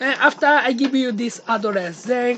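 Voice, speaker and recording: At a moderate pace, the talking is heard over noticeable background noise. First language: Japanese. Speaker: video blogger. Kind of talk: casual chat.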